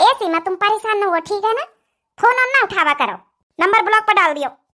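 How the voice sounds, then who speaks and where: A woman puts on a squeaky, cartoonish character voice at an extremely high pitch, rattling along at a very fast pace. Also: lively intonation. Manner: blunt, commanding.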